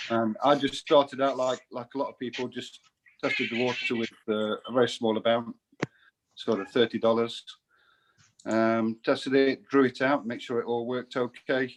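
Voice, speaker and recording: Moderate-paced speech in an English accent with monotone, flat intonation. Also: man, medium pitch for a man. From England, Nottingham. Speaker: self-employed investor giving testimony. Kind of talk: testimony. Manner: halting, many fillers.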